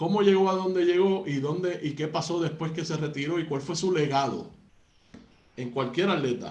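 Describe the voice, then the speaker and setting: Amid audible room echo, a man with a high voice talks at a moderate pace with ordinary pitch variation. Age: 30s. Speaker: radio sports host. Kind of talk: interview. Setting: studio.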